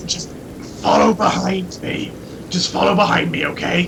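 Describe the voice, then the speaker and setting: A man speaks in a put-on character voice. Background noise is clearly audible. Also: moderate pace. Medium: actual play. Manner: hesitant, stammering, casual swearing.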